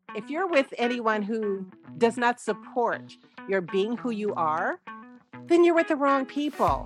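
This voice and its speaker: A woman's fairly high voice with lively intonation at a fairly slow pace, music in the background. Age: 70s. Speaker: actress. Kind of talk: interview answer.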